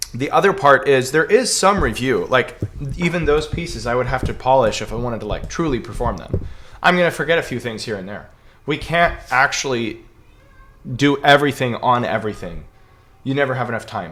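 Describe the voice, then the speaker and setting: Intonation rises and falls in a lively way. The delivery moves at a fairly quick pace. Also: man, medium pitch for a man. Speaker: piano teacher. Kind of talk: Q&A livestream answering viewer questions. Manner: fast; casual, filler-heavy.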